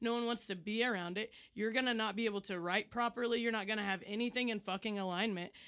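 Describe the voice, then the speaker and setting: A woman's fairly high voice at a very fast pace, animated and passionate in tone, with very even loudness. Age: 30s. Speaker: comedian. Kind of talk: casual chat. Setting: studio. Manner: animated, passionate.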